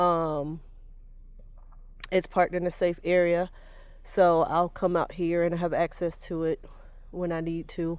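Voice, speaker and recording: A woman's fairly low, monotone, flat voice with long, frequent pauses. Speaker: car owner vlogger. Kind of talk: personal story to camera. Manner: halting, many fillers.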